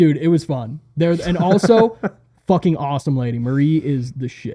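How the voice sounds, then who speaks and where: A man with an American accent speaks at a moderate pace and a fairly high pitch, his somewhat breathy voice carrying a dark, mellow tone and ordinary pitch variation. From Arizona, US. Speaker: metal enthusiast, touring band helper. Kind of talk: casual chat. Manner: animated.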